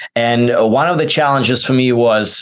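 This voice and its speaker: Fairly even intonation runs through this speech. It carries a non-native accent. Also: man. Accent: foreign accent, noticeable. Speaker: actor. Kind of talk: interview. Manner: halting, many fillers.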